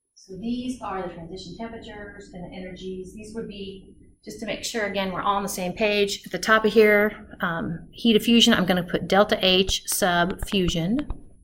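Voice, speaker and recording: Moderate pace with hardly any pauses, big swings in loudness, and noticeable background noise. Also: woman, medium pitch for a woman. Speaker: chemistry instructor. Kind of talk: lecture. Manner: animated.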